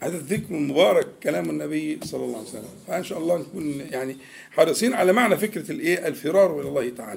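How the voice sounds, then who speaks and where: The speaker has an Egyptian accent. The pace is moderate. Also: man. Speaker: Islamic preacher. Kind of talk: religious lesson. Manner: conversational, mixing classical and colloquial Arabic.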